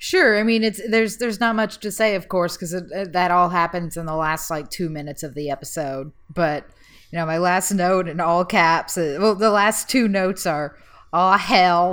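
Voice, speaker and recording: Very clean recording, silent background. A woman with an unremarkable speaking voice talks at a moderate pace and a fairly low pitch. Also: ordinary pitch variation. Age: 20s. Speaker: podcast co-host. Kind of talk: casual chat.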